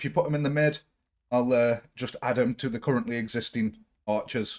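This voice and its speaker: Here a man with a medium pitch speaks with a British accent. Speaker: gaming streamer. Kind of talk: live gameplay stream. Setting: live stream. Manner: casual, chatty.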